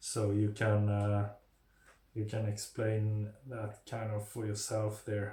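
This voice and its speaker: A man with a non-native accent speaks very slowly in a fairly low, dark, mellow, somewhat breathy voice, his intonation monotone and flat, with audible room echo. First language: not English. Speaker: mental health video creator. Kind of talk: informal talk to camera. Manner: halting, many fillers.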